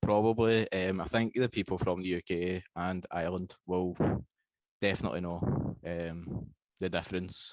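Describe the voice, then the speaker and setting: A man's very deep, low voice with a Scottish accent, at a moderate pace with fairly even intonation, in a very clean recording with a silent background. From Scotland. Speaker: podcast guest, fantasy wrestling writer. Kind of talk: casual chat.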